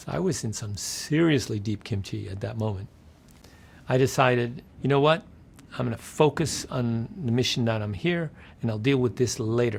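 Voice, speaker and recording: At a moderate pace, the speaker sounds somewhat breathy, with an American accent and ordinary pitch variation. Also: man, medium pitch for a man. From Netherlands, then New York City. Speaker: game publisher. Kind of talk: interview anecdote. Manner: animated storytelling; plain simple English.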